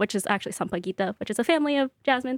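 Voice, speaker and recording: A woman speaks with lively intonation in a dry, close recording with no echo. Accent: American. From US West Coast, Bay Area and Central Valley, California. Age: 20s. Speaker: cookbook author and baker. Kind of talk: interview. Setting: studio.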